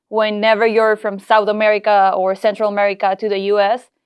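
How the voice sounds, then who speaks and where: A woman's fairly high voice with a Peruvian accent, at a moderate pace against a quiet background. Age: 20s. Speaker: entrepreneur. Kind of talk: podcast interview.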